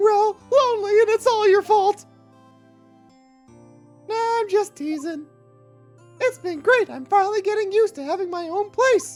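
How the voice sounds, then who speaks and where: An extremely high-pitched, put-on character voice speaks with long, frequent pauses. Faint music plays in the background. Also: moderate pace. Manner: nerdy, teasing.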